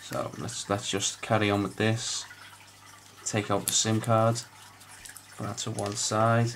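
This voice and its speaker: Noticeable background noise sits behind a man of medium pitch. He talks at a fairly slow pace in a monotone, flat intonation, with long, frequent pauses. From northern England, Liverpool. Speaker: phone repair technician. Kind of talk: tutorial. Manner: halting, many fillers.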